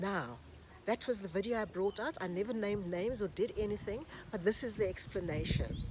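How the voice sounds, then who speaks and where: Speaking in a plain, everyday voice, a woman keeps a medium pitch, a moderate pace, and ordinary pitch variation. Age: 60s. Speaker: YouTuber and relationship coach. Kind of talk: casual vlog monologue.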